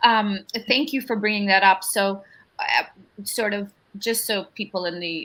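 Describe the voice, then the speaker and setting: A woman with a Russian accent, bright and sharp in tone, with fairly even intonation. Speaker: panel moderator. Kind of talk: panel discussion.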